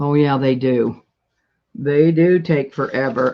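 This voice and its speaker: A woman with an American accent speaks at a very deep, low pitch, using ordinary pitch variation. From US Midwest, rural west-central Illinois. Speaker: live-stream seller of vintage paper crafts. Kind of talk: casual live-stream chat. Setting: at home, live stream at table. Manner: loud; chatty, talkative.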